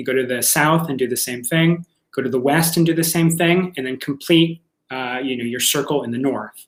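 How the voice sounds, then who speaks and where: This man talks at a fairly quick pace, his fairly high pitch showing ordinary variation. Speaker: workshop teacher of ritual magick. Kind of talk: lecture. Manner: fast; halting, many fillers and repeats.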